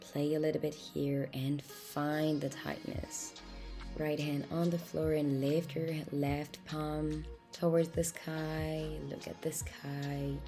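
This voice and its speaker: A woman talks very slowly as music plays behind her. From France. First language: French. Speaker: yoga instructor. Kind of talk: guided yoga instruction. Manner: calm, encouraging.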